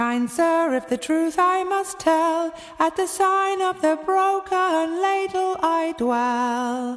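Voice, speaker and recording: A woman does a put-on character voice, squeaky and extremely high, at a very slow pace with very even loudness and ordinary pitch variation. Music plays in the background. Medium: read story. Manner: polite, soft.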